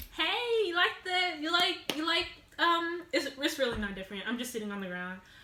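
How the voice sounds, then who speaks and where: In a room with audible echo and noticeable background noise, a woman uses a raised, projected voice at a moderate pace. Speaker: vlogger. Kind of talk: casual storytime vlog. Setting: at home alone, sitting on the floor. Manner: loud.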